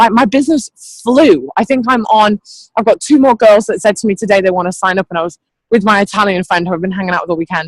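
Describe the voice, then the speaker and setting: Very fast speech with an English accent. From England. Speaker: network marketing team leader. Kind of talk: motivational pep talk on a training call. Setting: group training call. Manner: animated.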